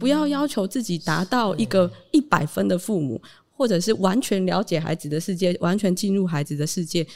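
A woman with a Taiwanese accent, medium pitch, lively intonation and a moderate pace. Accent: Taiwanese Mandarin. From Taitung, Taiwan. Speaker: founder of a parent-child community space. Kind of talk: casual interview.

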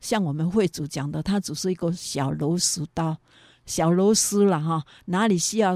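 A woman of medium pitch, dark and mellow in tone, speaks at a fairly slow pace with ordinary pitch variation in a dry, close sound with no echo, a very clean recording with a silent background. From Taiwan, Yunlin County. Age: 60s. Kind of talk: interview testimony. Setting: studio. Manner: animated.

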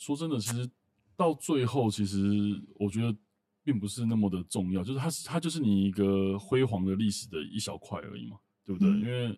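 Lively intonation marks this man's fairly low-pitched voice. His tone is dark and mellow, and his pace is fairly quick. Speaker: medical tech company general manager. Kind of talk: interview conversation.

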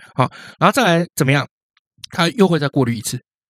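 A fairly high-pitched male voice, animated in tone and lively in intonation, with a dry, close sound and no echo. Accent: Taiwanese. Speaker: history podcast co-host. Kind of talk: casual history storytelling chat.

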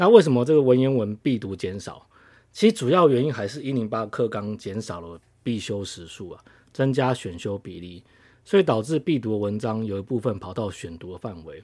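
A man's dark, mellow tone comes through a very clean recording with a silent background. His intonation is lively and his loudness swings widely. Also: medium pitch for a man, moderate pace. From Taiwan. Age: middle-aged. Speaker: podcast host, political commentator. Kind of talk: solo political commentary. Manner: frequent hesitations (uh, repeated words).

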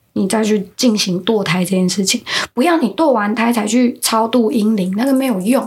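Her voice is somewhat breathy and fairly high. The woman keeps a moderate pace. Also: very even loudness. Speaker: podcast co-host explaining folk beliefs. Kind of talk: casual chat.

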